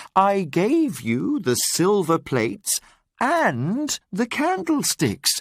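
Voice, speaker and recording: On a very clean recording with a silent background, a man uses a put-on character voice with very wide pitch swings at a very slow pace. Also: dry, close sound with no echo. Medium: read story. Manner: warm, gentle.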